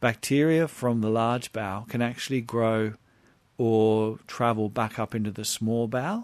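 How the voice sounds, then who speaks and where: A man with an Australian accent, medium pitch and ordinary pitch variation, at a moderate pace against a quiet background. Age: 50s. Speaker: health practitioner. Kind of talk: radio interview.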